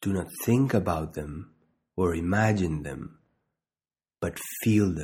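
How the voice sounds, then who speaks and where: The voice has a calm, soothing tone that is dark, mellow and somewhat breathy. Its intonation is lively while the pace stays very slow. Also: man. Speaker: meditation guide and doctor. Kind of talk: guided meditation, calm instructional second-person cues with pauses. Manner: slow, calm, soothing, deliberate pacing with repeated phrases; gentle, soft-spoken, even tone.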